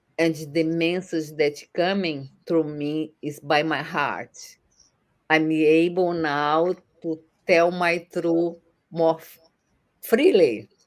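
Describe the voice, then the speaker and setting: On a very clean recording with a silent background, a woman with a Brazilian accent speaks very slowly at a fairly low pitch, with fairly even intonation, big swings in loudness and long, frequent pauses. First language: Portuguese. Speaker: online entrepreneur. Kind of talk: interview answer.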